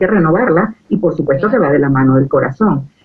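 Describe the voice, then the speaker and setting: The pitch swings very widely. The pace is very fast. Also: woman. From Venezuela. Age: 60s. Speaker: life coach, retired diplomat. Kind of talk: interview about personal growth.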